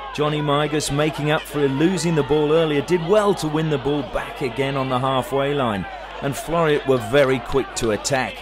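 A man's fairly high voice at a moderate pace with ordinary pitch variation, over noticeable background noise. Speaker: football commentator. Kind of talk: sports commentary, recapping match highlights as voiceover. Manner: brisk, fluent, play-by-play narration with lively, even pacing.

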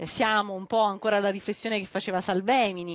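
A woman's voice at a medium pitch comes through with a dry sound and no echo. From southern Italy. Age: 30s. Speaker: politician; speaker, politician. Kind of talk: panel discussion. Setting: outdoor terrace event, streamed live. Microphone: headset.

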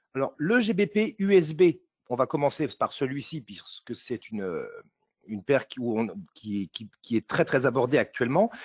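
Against a quiet background, in a dry, close sound with no echo, a man talks at a fairly slow pace, his fairly high voice making very wide pitch swings. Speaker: forex trader and forum moderator. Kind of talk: live webinar chart analysis.

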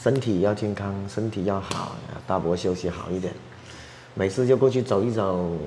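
Fairly low in pitch, a man talks at a fairly slow pace with ordinary pitch variation amid noticeable background noise. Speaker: rural life vlogger. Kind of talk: casual vlog chat. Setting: visiting a village home.

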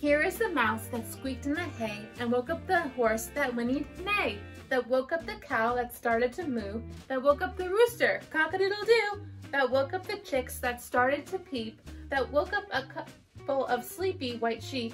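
A woman talks at a moderate pace. Faint music plays in the background. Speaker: school teacher. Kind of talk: read-aloud storytelling. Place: home room. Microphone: camera far.

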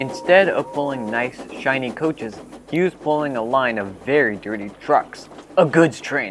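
Lively intonation in an unforced reading voice

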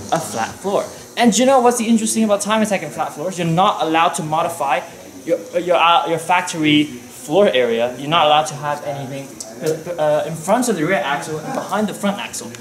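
In a high pitch, a man talks at a fairly quick pace. There is audible room echo and light background noise. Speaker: car enthusiast vlogger. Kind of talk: casual vlog chat. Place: workshop. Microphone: phone near.

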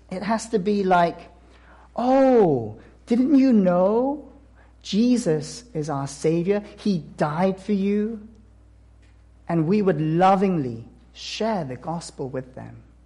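A man's high-pitched voice in a dark, mellow tone, at a very slow pace with lively intonation, long, frequent pauses and big swings in loudness. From South Korea. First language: Korean. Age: 30s. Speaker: missionary. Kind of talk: sermon. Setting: church. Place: church.

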